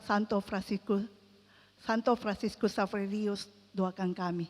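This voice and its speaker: This woman's voice sits at a medium pitch. It stays monotone, with flat intonation. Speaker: lay preacher at prayer meeting. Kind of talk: sermon. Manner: halting.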